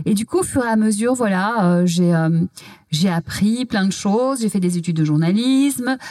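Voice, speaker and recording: An ordinary speaking voice at a moderate pace, with lively intonation and very even loudness throughout. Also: woman, medium pitch for a woman. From Belgium. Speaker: TV culture journalist and author. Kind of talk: interview conversation. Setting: physio practice room.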